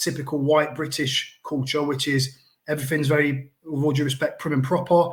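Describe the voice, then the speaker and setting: Somewhat breathy and fairly high in pitch, a man talks at a fairly quick pace in an East Midlands accent. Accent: Coalville (East Midlands English). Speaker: school trust leader. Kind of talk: panel discussion.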